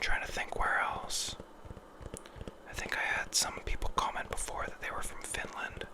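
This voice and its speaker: Whispering from a man at a moderate pace, with long, frequent pauses, noticeable background noise and audible room echo. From western Canada. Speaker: ASMR creator. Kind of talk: ASMR relaxation talk. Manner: soft-spoken.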